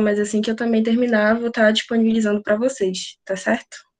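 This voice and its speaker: In an ordinary speaking voice, a woman talks at a moderate pace and a fairly high pitch. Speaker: math tutor. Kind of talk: online class.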